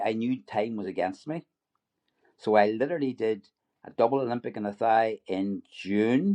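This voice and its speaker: A man with an Irish accent speaks at a moderate pace in a dark, mellow tone. His pitch varies in an ordinary way, and the sound is dry and close with no echo. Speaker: retired dentist and triathlete. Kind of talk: podcast interview. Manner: halting, many repeated words.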